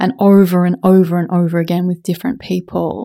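Over a silent background in a very clean recording, a woman with a medium pitch and a dark, mellow tone speaks fairly quickly with fairly even intonation. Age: 50s. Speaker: somatic sex educator and podcast host. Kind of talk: casual interview conversation. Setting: home apartment.

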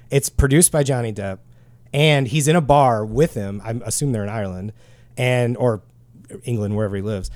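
A man speaks at a fairly quick pace with a Midwestern accent. His speech is broken by long, frequent pauses. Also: medium pitch for a man, ordinary pitch variation. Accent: American Midwest. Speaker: podcast host, guitar gear. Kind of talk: casual chat. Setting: studio.

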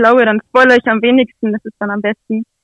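A woman's fairly high voice with monotone, flat intonation, dry and close with no echo. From Lower Saxony, Nienburg. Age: 20s. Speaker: author and blogger. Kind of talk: interview.

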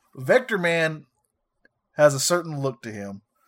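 With a Southern accent, a man speaks at a fairly high pitch and swings it very widely. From US South. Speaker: retro video game podcast co-host. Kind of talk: casual chat.

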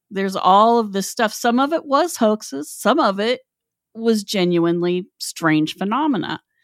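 Her pitch fairly high and swinging very widely, a woman with an Appalachian accent speaks at a moderate pace on a very clean recording with a silent background. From West Virginia. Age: 50s. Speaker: podcast host. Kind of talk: casual chat.

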